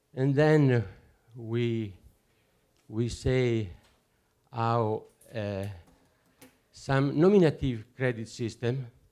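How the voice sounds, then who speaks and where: At a very slow pace, a man with an Italian accent speaks at a medium pitch with lively intonation. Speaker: conference speaker, alternative currency researcher. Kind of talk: conference talk. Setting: conference with audience. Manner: halting, hesitant non-native English.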